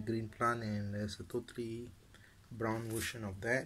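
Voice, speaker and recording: A man's somewhat breathy voice at a moderate pace, ordinary pitch variation, light background noise. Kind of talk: casual garden tour narration. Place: garden. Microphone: phone near.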